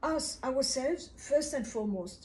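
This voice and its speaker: Speaking fairly slowly, a woman uses a high pitch and lively intonation. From Kinshasa, DR Congo. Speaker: video blogger. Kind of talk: monologue talk to camera about self-hatred; interview answer. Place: home room. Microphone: camera far.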